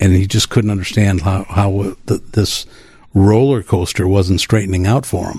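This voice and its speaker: With an American accent, a man speaks at a moderate pace in a fairly low, somewhat breathy voice with a dark, mellow tone. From Wisconsin. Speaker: addiction recovery advocate. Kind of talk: interview. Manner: halting.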